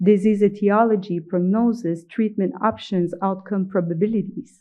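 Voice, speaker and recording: In a Quebec accent, a woman speaks at a fairly slow pace with a medium pitch and ordinary pitch variation. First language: French. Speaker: professor. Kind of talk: conference lecture. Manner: halting.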